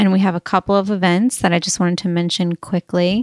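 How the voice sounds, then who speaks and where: A normal speaking voice with an American accent moves at a moderate pace, sounding dry and close with no echo on a very clean recording with a silent background. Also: woman. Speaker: podcast host. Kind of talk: casual interview. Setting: home studio in person.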